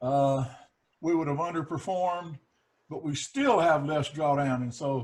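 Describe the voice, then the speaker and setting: Fairly slow, somewhat breathy speech from a man with a fairly high pitch and fairly even intonation. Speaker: investment advisor. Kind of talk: casual chat.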